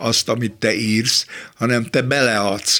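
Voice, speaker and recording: The man's voice is fairly low in pitch. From Budapest, Hungary. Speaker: philosopher and critic. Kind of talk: interview.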